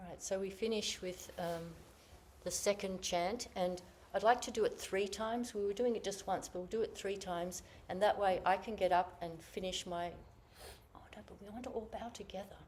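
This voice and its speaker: A woman with an Australian accent, medium pitch, fairly even intonation, big swings in loudness and a moderate pace. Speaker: Zen teacher. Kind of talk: group session instructions. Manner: casual.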